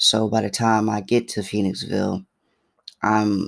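A man with an American accent, fairly low pitch and vocal fry speaks at a very slow pace on a very clean recording with a silent background. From Philadelphia. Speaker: podcast host. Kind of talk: personal storytelling monologue.

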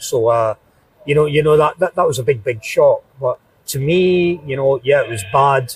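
With a Glaswegian accent, a man speaks in a fairly high pitch at a moderate pace, his pitch varying in an ordinary way. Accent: Glaswegian Scottish. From Scotland (southeast of Glasgow). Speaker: football fan. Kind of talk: interview. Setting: pub.

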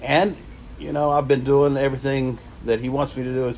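A man with an Appalachian accent against noticeable background noise. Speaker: prevention coalition coordinator. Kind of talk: personal testimony.

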